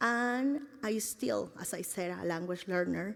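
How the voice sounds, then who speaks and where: A medium-pitched woman's voice with lively intonation and a Spanish accent. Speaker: teacher. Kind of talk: speech to an audience. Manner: halting.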